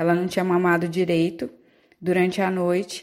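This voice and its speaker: A woman is talking. Her voice sits fairly low. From São Paulo coast, Brazil (São Vicente). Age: 30s. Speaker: journalist and mother. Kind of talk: personal testimony.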